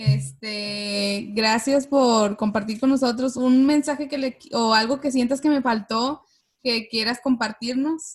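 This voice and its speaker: A woman's high voice at a very slow pace with fairly even intonation. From Monterrey, northern Mexico. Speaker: podcast host. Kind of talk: casual interview chat.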